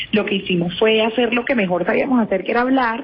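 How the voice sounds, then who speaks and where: Over noticeable background noise, a woman with a Caribbean Colombian accent talks at a very fast pace with fairly even intonation. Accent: Colombian Caribbean (costeño). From Colombian Caribbean coast, Cartagena. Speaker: entrepreneur and author. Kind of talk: radio interview.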